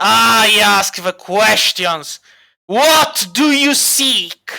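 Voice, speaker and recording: A put-on, growling character voice at a fairly high pitch and a very slow pace. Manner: snarling, menacing.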